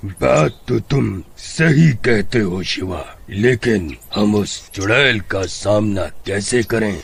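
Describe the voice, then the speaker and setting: Using a cartoonish character voice, a man speaks very slowly at a fairly low pitch with lively intonation, over clear background noise. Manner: calm, authoritative.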